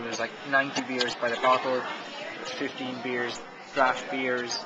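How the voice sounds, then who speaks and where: A man talks with crowd noise in the background. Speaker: hospitality business vlogger. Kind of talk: casual vlog commentary. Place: bar. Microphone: phone near.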